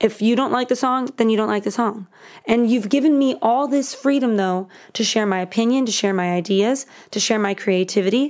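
In a very clean recording with a silent background, a woman with an American accent speaks at a fairly quick pace in a plain, everyday voice. Her pitch is fairly high, with ordinary pitch variation. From Miami, Florida. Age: 20s. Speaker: songwriter. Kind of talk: casual chat.

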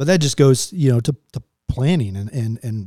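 In a dry, close recording with no echo, a man's somewhat breathy voice has a dark, mellow tone and ordinary pitch variation. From Texas. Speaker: military pilot. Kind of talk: interview.

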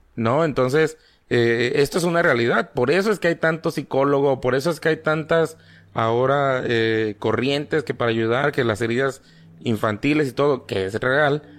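A man speaks in a normal speaking voice at a moderate pace and fairly high pitch, with ordinary pitch variation and very even loudness, on a very clean recording with a silent background. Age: 30s. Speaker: podcast guest. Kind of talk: casual chat about paranormal experiences. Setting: live stream.

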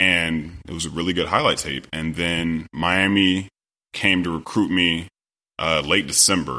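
A man with an American accent speaks at a moderate pace in a bright, sharp tone. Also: very clean recording, silent background. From US West, Sacramento, California. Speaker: former pro football player. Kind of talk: interview, casual chat.

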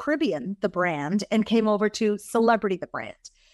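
Speaking at a moderate pace over a quiet background, a woman with a plain, everyday voice uses lively intonation in an American accent. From Massachusetts, US. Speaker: cruise line executive. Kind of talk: interview conversation.

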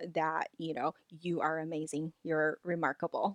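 A woman's fairly low voice with a non-native accent at a moderate pace, in a dry, close sound with no echo. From Los Angeles, raised from childhood (non-native English). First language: not English. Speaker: life coach. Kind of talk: interview.

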